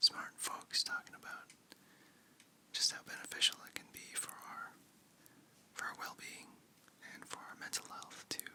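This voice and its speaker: Whispering in a gentle tone at a moderate pace, with long, frequent pauses. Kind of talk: ASMR close-up whispering ramble. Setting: very close to the microphone. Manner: whispered, soft, gentle, calming.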